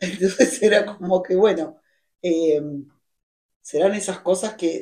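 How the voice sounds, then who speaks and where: A woman speaks at a very slow pace in a dark, mellow tone. Her pitch varies in an ordinary way. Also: medium pitch for a woman. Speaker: writer. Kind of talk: conversation at literary event. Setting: library event with audience.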